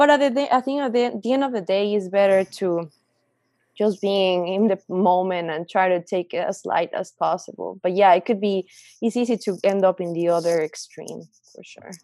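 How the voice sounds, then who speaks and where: Recorded dry and close with no echo, the speaker has a Spanish accent and a dark, mellow tone, moving at a moderate pace with ordinary pitch variation and big swings in loudness. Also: woman, medium pitch for a woman. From Mexico. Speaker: artist. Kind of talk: casual chat.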